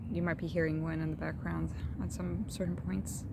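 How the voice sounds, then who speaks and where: Loud background noise surrounds a woman's voice. The sound is dry, with no echo. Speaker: vlogger. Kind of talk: casual vlog chat. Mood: calm, warm, relaxed. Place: garden. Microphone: phone near.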